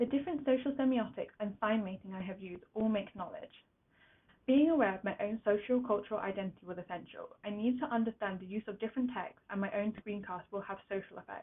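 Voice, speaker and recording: A woman's fairly high voice at a very fast pace, with big swings in loudness. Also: ordinary pitch variation. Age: young. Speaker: university student. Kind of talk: reflective presentation read from script. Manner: occasional stumbles over words.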